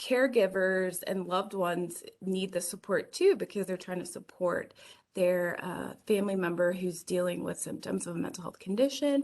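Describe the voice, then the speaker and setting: A woman puts on a raspy character voice at medium pitch. She speaks at a moderate pace. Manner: talking fast.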